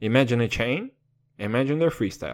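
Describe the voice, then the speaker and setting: Here is a man speaking. His tone is animated. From Kazakhstan. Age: 20s. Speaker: podcast host. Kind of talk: casual monologue.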